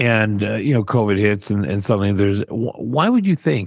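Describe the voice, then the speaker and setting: An ordinary speaking voice, a man's at a fairly low pitch, with a dry, close sound and no echo. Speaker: podcast co-host. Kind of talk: radio DJ patter, teasing upcoming segments. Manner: punchy, rapid-fire, teaser-style delivery; bantering.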